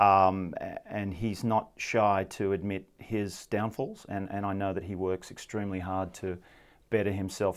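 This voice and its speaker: Speaking with an Australian accent, a man uses a fairly low pitch and monotone, flat intonation at a moderate pace. The recording is very clean, with a silent background. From Sydney, Australia. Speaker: former rugby player and amateur coach. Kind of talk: casual sports chat.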